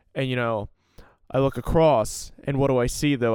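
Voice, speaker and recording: In a very clean recording with a silent background, a man speaks at a moderate pace in an unremarkable speaking voice with ordinary pitch variation. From US Northeast, Salem County, New Jersey. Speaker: podcast host. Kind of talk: solo storytelling podcast. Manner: casual, filler-heavy.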